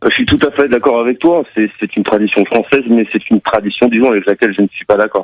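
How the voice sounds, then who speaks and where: Barely pausing, a man with a medium pitch and ordinary pitch variation speaks at a very fast pace. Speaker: caller. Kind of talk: call-in radio discussion. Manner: halting.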